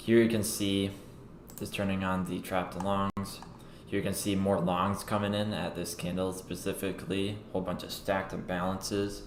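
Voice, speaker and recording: Amid noticeable background noise and audible room echo, a man with a very deep, low pitch speaks at a moderate pace in a monotone, flat intonation. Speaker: crypto trader livestreamer. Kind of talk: live trading commentary. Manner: thinking aloud, words mixed up.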